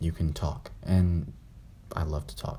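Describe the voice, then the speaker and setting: Very deep and low in pitch, a man's somewhat breathy voice carries a dark, mellow tone at a fairly slow pace. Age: young. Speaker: podcast host. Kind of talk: casual solo chat. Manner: halting.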